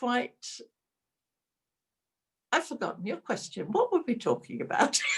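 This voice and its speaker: A woman speaks with very wide pitch swings. Vocal fry runs through her voice. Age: 80s+. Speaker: IT entrepreneur and philanthropist. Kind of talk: webinar interview answer.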